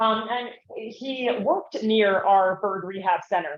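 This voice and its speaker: Her intonation is lively as the woman talks. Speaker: conference speaker, wildlife rehabilitator and bird bander. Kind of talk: conference talk. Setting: conference room, not using the microphone. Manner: loud. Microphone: no microphone.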